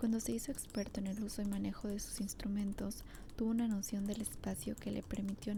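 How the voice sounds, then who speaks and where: The voice is soft-spoken. Its pace is moderate. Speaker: ASMR creator. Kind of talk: reading a novel aloud.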